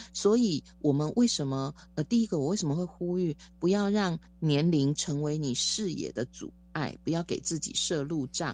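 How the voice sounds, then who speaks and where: A woman with a normal speaking voice talks at a moderate pace, her intonation lively. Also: fairly low pitch for a woman. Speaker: education professor. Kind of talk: interview.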